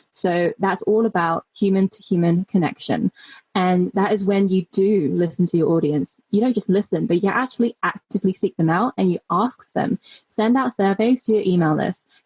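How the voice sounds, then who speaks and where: A woman speaks at a moderate pace and medium pitch, somewhat breathy, with ordinary pitch variation. The sound is dry and close, with no echo. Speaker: launch strategist and copywriter. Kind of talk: interview.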